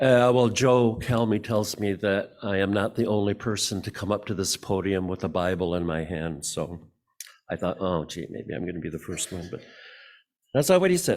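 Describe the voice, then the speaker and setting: The speaker has an Upper Midwest accent and a moderate pace with ordinary pitch variation. The recording is very clean, with a silent background. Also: man, fairly low pitch for a man. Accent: Upper Midwest American. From Michigan, Muskegon. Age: 80s+. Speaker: church member speaker. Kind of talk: personal reflection talk at church service. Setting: church service podium. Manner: halting.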